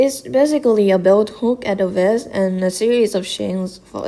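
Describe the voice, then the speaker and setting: A woman with a non-native accent speaks at a medium pitch and a fairly slow pace. Her pitch varies in an ordinary way. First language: not English. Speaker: gaming content creator. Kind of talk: explainer video narration.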